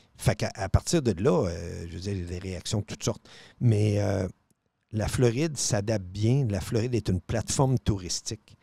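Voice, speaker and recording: A man speaks at a fairly low pitch and a moderate pace, somewhat breathy with a dark, mellow tone and ordinary pitch variation, in a dry sound with no echo over a quiet background. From Quebec City (Charlesbourg); Quebec. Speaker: radio host. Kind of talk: casual chat. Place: studio. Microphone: studio mic.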